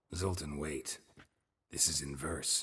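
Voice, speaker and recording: A man does a raspy put-on character voice at a very deep, low pitch. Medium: video game. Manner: low, laconic, deadpan.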